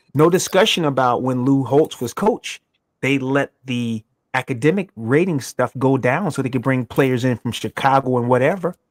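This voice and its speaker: In a very clean recording with a silent background and a dry, close sound without echo, a man of medium pitch speaks in an animated tone. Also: ordinary pitch variation, moderate pace. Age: 60s. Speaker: sports talk show co-host, former football player. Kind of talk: casual sports talk show. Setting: live show.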